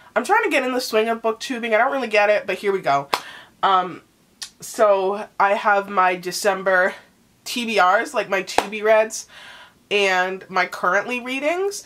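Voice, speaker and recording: Over noticeable background noise, a woman speaks fairly slowly at a medium pitch with ordinary pitch variation. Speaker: booktuber. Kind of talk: casual vlog chat.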